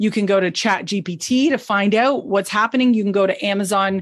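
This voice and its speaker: A woman at a moderate pace, medium pitch, ordinary pitch variation. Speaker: business coach for fitness coaches. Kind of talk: online training masterclass. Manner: animated.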